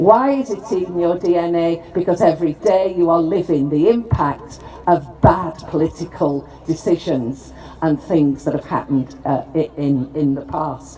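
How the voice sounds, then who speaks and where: Fairly low-pitched woman's voice with a Lancashire accent, at a fairly slow pace over noticeable background noise. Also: ordinary pitch variation. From northern England, Preston, Lancashire. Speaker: politician, former mayor. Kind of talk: formal speech at ceremony.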